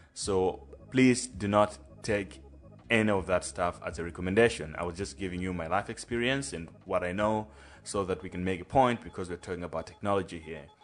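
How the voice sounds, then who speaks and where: A man's very deep, low voice at a fairly quick pace, with ordinary pitch variation. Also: big swings in loudness. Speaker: podcast host. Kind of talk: podcast intro monologue; casual chat. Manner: hesitant, many fillers.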